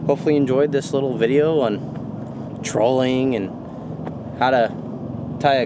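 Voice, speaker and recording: A man's voice, dry with no echo, with ordinary pitch variation and noticeable background noise. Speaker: fishing vlogger. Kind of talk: casual vlog chat. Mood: relaxed, content. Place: waterside. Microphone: phone near.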